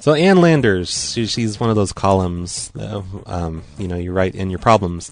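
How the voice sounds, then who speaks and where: Music plays in the background. A man speaks with a fairly low pitch. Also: ordinary pitch variation, moderate pace. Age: 40s. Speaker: prank call radio host. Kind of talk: prank phone call show. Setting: phone call.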